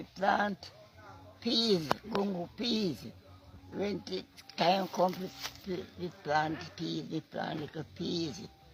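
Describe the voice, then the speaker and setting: A woman with a Jamaican accent and fairly low pitch speaks at a very slow pace with long, frequent pauses over noticeable background noise. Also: ordinary pitch variation. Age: 80s+. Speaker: farmer. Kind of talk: interview answer.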